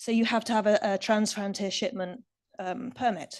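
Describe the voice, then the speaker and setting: Against a quiet background, the speaker uses an English accent at a moderate pace with ordinary pitch variation. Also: woman. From England. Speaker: recycling industry expert speaker. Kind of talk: conference Q&A answer.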